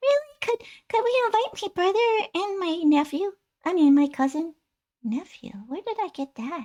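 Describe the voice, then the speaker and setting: This put-on character voice sits at an extremely high pitch. It moves at a moderate pace with very wide pitch swings. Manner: playful, curious.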